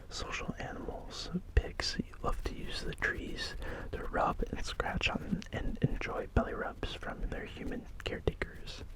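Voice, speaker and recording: Over noticeable background noise, a man is whispering. He speaks at a fairly slow pace. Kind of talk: ASMR soft whisper ramble reading fun facts. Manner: soft-spoken, whispered.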